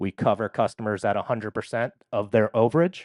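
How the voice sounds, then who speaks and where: In a New York accent, a man with a fairly low pitch speaks over a quiet background, the sound dry and close with no echo. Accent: New York area. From New York area. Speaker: company representative. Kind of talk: conference presentation.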